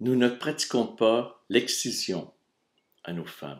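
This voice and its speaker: Over a very clean recording with a silent background, a man speaks at a very slow pace with ordinary pitch variation. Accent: Quebec. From Quebec (Montreal). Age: 60s. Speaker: video blogger. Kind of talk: reading aloud.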